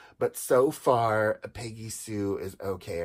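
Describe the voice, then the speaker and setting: A man with a fairly low pitch speaks against a quiet background. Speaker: doll collector reviewer. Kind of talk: casual review chat. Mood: enthusiastic, nostalgic. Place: home room. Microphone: phone near.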